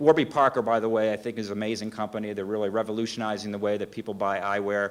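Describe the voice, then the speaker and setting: Very rapid speech from a man, fairly low in pitch, the intonation fairly even. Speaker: business owner, conference speaker. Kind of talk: conference presentation; Q&A answer. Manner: fast; halting, many fillers and repeats.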